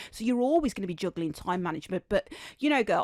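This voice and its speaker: With a Birmingham accent, a woman is heard on a very clean recording with a silent background and a dry, close sound with no echo. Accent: Birmingham (Brummie), noticeable. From Birmingham, England. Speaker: podcast host. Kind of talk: casual interview chat. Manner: animated; repeats and stumbles on words.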